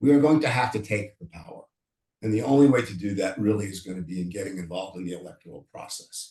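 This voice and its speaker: Very fast speech in a dark, mellow, somewhat breathy tone comes with big swings in loudness. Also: man, ordinary pitch variation. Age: 60s. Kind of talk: panel discussion. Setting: video call. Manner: animated.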